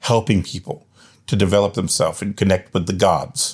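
On a very clean recording with a silent background, a man talks at a moderate pace in a plain, everyday voice. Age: 50s. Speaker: religious ministry leader and podcast host. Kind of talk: podcast monologue.

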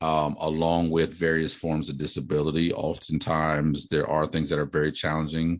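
Over a quiet background, a man with a very deep, low pitch talks in a monotone, flat intonation. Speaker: pastor and author, podcast host. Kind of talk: book discussion, casual teaching. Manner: halting, many fillers.

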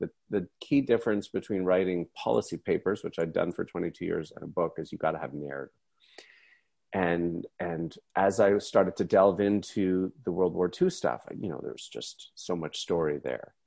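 A man with an unremarkable speaking voice and a fairly low pitch talks at a moderate pace, his loudness swinging widely, in a dry, close recording with no echo and a quiet background. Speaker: author and economist. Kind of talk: interview. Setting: video call.

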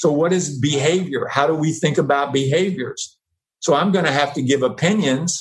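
A man with an American accent talks at a moderate pace in a plain, everyday voice, his pitch varying in an ordinary way and his loudness very even. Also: fairly high pitch for a man. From US South. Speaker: professor and advertising executive. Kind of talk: casual chat.

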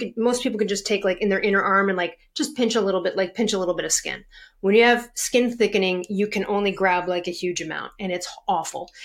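A woman speaks at a very fast pace. Her pitch sits in the medium range and varies in an ordinary way. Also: very clean recording, silent background. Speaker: health coach and author. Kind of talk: interview. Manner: fast talker.

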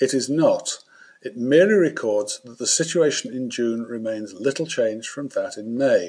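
A man talks at a moderate pace. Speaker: economics newsletter host. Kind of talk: formal newsreading of economic data, brisk and dry, a spoken bulletin.

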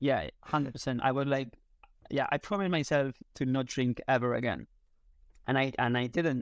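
A man in a Spanish accent at a moderate pace, medium pitch, fairly even intonation and very even loudness, in a very clean recording with a silent background. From Spain. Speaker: content creator and photography teacher. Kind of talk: casual interview. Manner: hesitant, many fillers.

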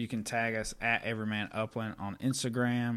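On a very clean recording with a silent background, a man with a medium-pitched voice speaks at a fairly slow pace. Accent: American. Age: 30s. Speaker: podcast host. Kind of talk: casual chat.

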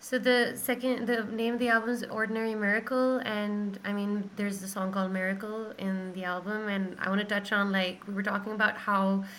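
A woman's monotone, flat intonation at a fairly quick pace, with audible room echo and noticeable background noise. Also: medium pitch for a woman. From Pakistan. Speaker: singer-songwriter. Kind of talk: casual chat.

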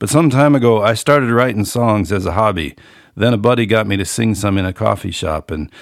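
With an American accent, a man talks at a moderate pace in an ordinary speaking voice, fairly low in pitch. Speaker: author and musician, podcast host. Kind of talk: casual solo monologue, reading an essay. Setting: home studio, room above garage. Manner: relaxed, folksy, conversational.

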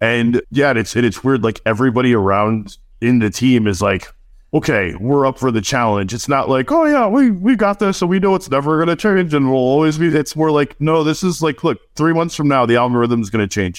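With an American accent, a man speaks at a fairly quick pace and medium pitch, his loudness very even but his pitch swinging very widely, on a very clean recording with a silent background. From New Jersey. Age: 40s. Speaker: digital marketing agency owner. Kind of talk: casual interview.

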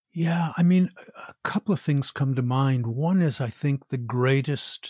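On a very clean recording with a silent background, a man's somewhat breathy voice sits at medium pitch with ordinary variation. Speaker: author and embodiment teacher; actor. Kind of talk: guided meditation and interview. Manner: theatrical, articulate.

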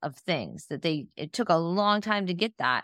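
In a very clean recording with a silent background and a dry, close sound with no echo, a woman with an American accent uses an ordinary speaking voice at a medium pitch and moderate pace. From Northeastern Ohio, US. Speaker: sports podcast co-host. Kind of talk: casual chat.

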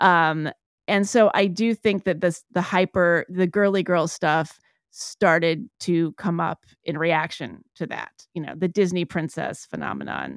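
Over a silent background in a very clean recording, a woman with a fairly low pitch and vocal fry talks at a fairly slow pace with fairly even intonation. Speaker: author and podcast host. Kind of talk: casual interview conversation.

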